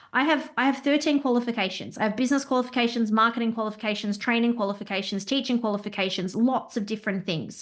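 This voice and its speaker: The speech comes at a very fast pace with ordinary pitch variation. The background is quiet. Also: woman. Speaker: business owner and compliance consultant. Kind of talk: interview. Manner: loud; talkative.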